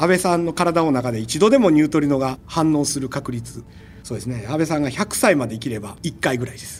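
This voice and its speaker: A man with a plain, everyday voice speaks with lively intonation and big swings in loudness. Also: fairly high pitch for a man, fairly quick pace. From Osaka, Japan. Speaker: particle physicist. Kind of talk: casual interview.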